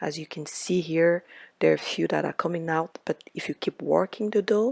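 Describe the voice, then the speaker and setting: A soft-spoken woman is heard with a dry, close sound and no echo. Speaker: home baker. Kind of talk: cooking tutorial.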